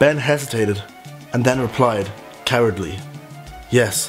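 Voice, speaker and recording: With a Dublin accent, a man talks at medium pitch over faint music in the background. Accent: Dublin Irish. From Ireland. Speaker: vlogger. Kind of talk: reading own story aloud with comic asides. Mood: playful, mock-dramatic. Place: home room. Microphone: phone near.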